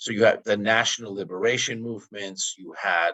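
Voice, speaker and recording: In a New York accent, a man talks at a fairly low pitch. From New York, the Bronx. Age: 60s. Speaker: activist. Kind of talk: interview. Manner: halting.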